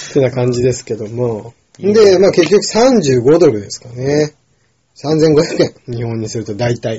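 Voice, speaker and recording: Speaking at a fairly slow pace, a man with a medium-pitched, somewhat breathy voice uses lively intonation and big swings in loudness. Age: 20s. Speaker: podcast co-host. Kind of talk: casual chat.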